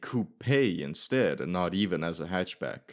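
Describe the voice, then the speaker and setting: A man speaks with a non-native accent and very wide pitch swings. The recording is very clean, with a silent background. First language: not English. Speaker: car history video narrator. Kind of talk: scripted narration.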